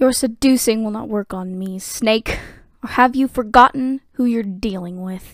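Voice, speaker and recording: A female-sounding, put-on character voice with a fairly high pitch and a hissing sound speaks at a moderate pace on a very clean recording with a silent background. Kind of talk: formal, commanding. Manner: hissing, stern.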